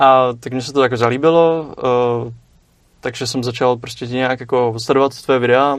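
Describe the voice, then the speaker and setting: A man speaks at a moderate pace with a medium pitch and a monotone, flat intonation. His loudness swings widely. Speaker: philosophy student. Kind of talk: casual discussion. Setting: studio. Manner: halting.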